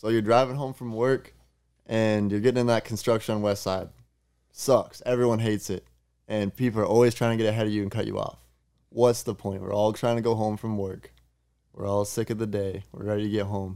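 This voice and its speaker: On a very clean recording with a silent background, a man speaks fairly quickly in a flat monotone with a fairly low pitch and a dark, mellow tone. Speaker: podcast guest, motocross rider. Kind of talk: casual chat.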